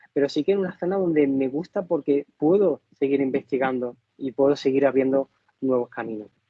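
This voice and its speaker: With ordinary pitch variation, a man talks at a fairly quick pace in a fairly high pitch. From Spain, Málaga (Andalusia). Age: 40s. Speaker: contemporary artist. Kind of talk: interview. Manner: halting, many fillers.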